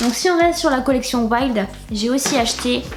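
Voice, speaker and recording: Music sounds in the background as a woman talks. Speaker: beauty and lifestyle youtuber. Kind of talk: haul video, casual talk to camera. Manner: hesitant, many fillers.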